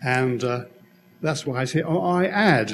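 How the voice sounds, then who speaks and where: A man with an English accent, lively intonation and a fairly slow pace, plus audible room echo. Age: 80s+. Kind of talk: conference talk.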